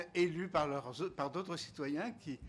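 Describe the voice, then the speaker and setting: A man talks at a very slow pace. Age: 70s. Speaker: member of parliament. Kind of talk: explaining to children in Q&A. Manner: hesitant, many fillers.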